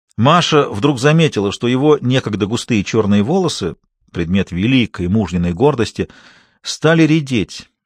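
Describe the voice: Lively intonation in plain reading aloud, a quiet background behind it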